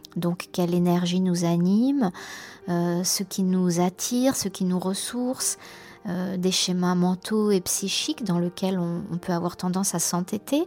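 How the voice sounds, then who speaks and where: A woman's dark, mellow tone at a fairly slow pace. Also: medium pitch for a woman, ordinary pitch variation. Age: 50s. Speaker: program participant. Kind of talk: testimony. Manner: halting.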